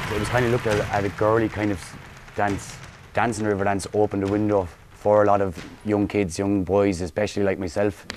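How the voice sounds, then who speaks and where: Noticeable background noise sits behind a fairly quick delivery in an Irish accent. The loudness stays very even and the intonation is monotone and flat. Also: man, fairly low pitch for a man. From Galway, west of Ireland. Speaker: Irish dance teacher. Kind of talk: interview.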